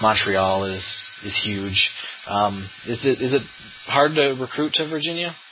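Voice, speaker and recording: Against noticeable background noise, a man talks at a fairly slow pace with lively intonation and long, frequent pauses. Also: medium pitch for a man. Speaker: podcast host. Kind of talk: casual interview.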